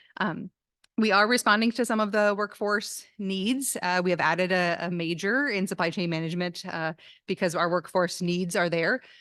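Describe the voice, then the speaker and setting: The background is quiet. A woman speaks at a medium pitch with ordinary pitch variation. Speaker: business college dean. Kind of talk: speech at campus event. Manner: fast; hesitant with fillers.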